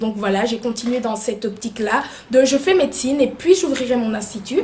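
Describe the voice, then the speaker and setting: There is noticeable background noise behind the speech. A woman talks at a fairly high pitch. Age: 20s. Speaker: makeup artist and beauty student. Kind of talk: interview. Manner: hesitant, many fillers.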